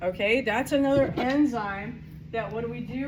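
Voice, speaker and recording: A woman's voice comes with audible room echo. Noticeable background noise is present. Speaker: microbiology instructor. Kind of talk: classroom lecture. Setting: classroom with students. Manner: casual, conversational.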